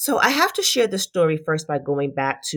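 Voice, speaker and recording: A woman with an American accent on a very clean recording with a silent background. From Brooklyn, New York. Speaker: podcast host, physician and leadership coach. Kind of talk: solo podcast monologue.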